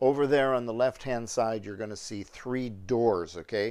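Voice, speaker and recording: At a moderate pace, a man with an American accent speaks on a very clean recording with a silent background. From New York. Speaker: high school teacher. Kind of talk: classroom orientation talk. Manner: hesitant, many fillers.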